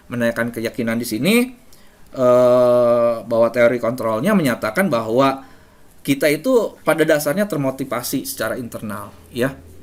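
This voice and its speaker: A man talks at a moderate pace with a medium pitch. His pitch variation is ordinary. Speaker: teacher presenting to fellow teachers. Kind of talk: webinar presentation. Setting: online webinar. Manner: firm, forceful delivery.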